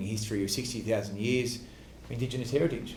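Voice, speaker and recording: A man's monotone, flat delivery in an Australian accent, medium in pitch, at a very fast pace, with audible room echo. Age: 30s. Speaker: politician. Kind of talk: Q&A answer after a speech. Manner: halting, many fillers and restarts.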